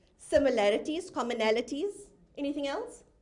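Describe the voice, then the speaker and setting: A high-pitched woman's voice with audible room echo. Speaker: professional speaker and inclusion specialist. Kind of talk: conference talk. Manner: fast; interactive.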